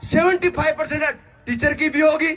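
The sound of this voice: The tone is fairly bright, with fairly even intonation at a moderate pace. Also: man, extremely high pitch for a man.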